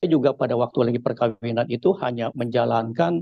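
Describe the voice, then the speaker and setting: Speaking at a very fast pace, a man uses a medium pitch with vocal fry. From Indonesia, Jakarta (Chinese-Betawi). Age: 70s. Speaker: church testimony giver. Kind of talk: testimony. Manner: halting, many fillers.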